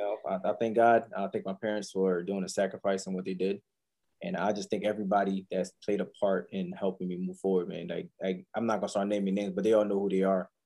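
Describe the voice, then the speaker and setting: A man's fairly low, dark, mellow voice in a monotone, flat intonation at a very fast pace. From Haiti, moved to Philadelphia as a child. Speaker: trucking entrepreneur. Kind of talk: interview.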